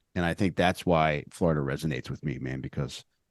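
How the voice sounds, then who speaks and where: In a Philadelphia accent, a man with a very deep, low pitch and vocal fry keeps his intonation fairly even, the sound dry and close with no echo over a quiet background. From Philadelphia area, Upper Darby (Delco). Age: 40s. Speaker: comedian and podcaster. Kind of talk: casual podcast interview.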